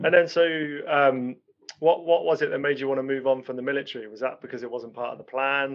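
In a normal speaking voice, a man talks at a fairly high pitch with fairly even intonation and big swings in loudness. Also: fairly quick pace. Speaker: podcast host. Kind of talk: interview conversation.

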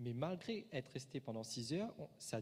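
A man speaks at a moderate pace with lively intonation. His voice is medium in pitch and somewhat breathy. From Mauritius. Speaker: preacher. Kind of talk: sermon.

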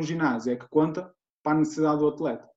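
A man's dark, mellow voice, fairly high in pitch, at a fairly quick pace. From Portugal, Guimarães. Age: 20s. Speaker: strength and conditioning coach. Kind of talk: podcast interview.

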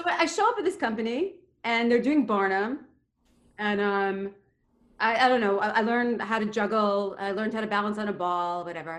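With an American accent, a woman speaks at a fairly quick pace and fairly high pitch, with ordinary pitch variation, in an unremarkable speaking voice. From New York (Queens). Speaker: storyteller, theater actress and dancer. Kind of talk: personal storytelling.

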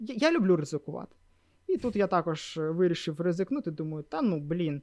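A man with a high voice speaks at a fairly slow pace, his intonation lively. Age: 20s. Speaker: backend developer and group lead. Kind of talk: casual interview.

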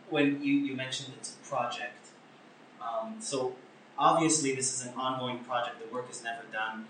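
Moderate-paced male speech with big swings in loudness, audible room echo and noticeable background noise. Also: medium pitch for a man, ordinary pitch variation. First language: Hebrew. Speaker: podcast host. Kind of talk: interview; casual chat.

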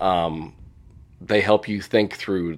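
A man with an American accent speaks at a fairly slow pace in a very deep, low pitch, with vocal fry and lively intonation. The recording is very clean, with a silent background. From Indiana, US Midwest. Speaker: executive coach. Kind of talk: interview.

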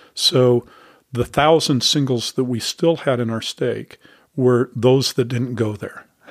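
With a dry, close sound and no echo, the voice moves at a fairly slow pace with fairly even intonation. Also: man, medium pitch for a man. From Utah, Salt Lake City. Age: 60s. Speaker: author and church leader. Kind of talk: interview. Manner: hesitant, many fillers.

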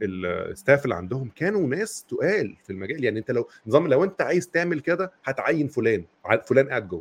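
Vocal fry marks this voice. It moves at a fairly quick pace with very wide pitch swings. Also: man. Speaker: podcast host. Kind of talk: casual chat.

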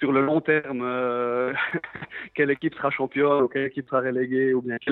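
Speaking at a moderate pace, a man keeps his fairly high voice monotone and flat. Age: 30s. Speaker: professional footballer. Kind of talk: interview. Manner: halting.

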